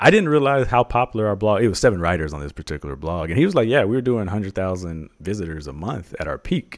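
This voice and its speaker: On a very clean recording with a silent background, a man with a fairly low pitch speaks at a very fast pace with very wide pitch swings and hardly any pauses. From Texas. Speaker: personal finance blogger and podcaster. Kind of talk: interview.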